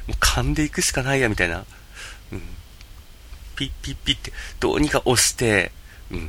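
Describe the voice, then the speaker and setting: Fairly quick speech broken by long, frequent pauses, over noticeable background noise. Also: man. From Japan, Yamagata. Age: 30s. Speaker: podcast host and game video streamer. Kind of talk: casual solo podcast monologue. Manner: hesitant, many fillers.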